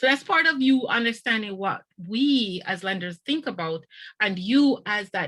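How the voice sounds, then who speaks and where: Here a woman speaks at a fairly high pitch with a bright, sharp tone. Her intonation is lively and her pace moderate. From Jamaica. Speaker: lender, financial speaker. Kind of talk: presentation.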